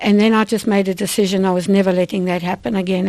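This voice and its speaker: A woman with a South African accent, a dark, mellow tone, medium pitch, ordinary pitch variation and a fairly quick pace. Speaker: vitamin company owner. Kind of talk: radio interview.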